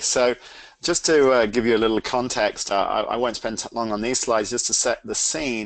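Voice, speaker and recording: Speaking at a moderate pace, a man with an English accent has a medium pitch and fairly even intonation. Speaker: CEO and product owner of a training organization. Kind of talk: webcast presentation.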